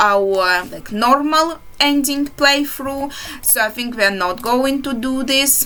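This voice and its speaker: Over noticeable background noise, a woman talks at a fairly slow pace. Her pitch varies in an ordinary way. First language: not English. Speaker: indie game developer. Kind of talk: game walkthrough commentary. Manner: halting.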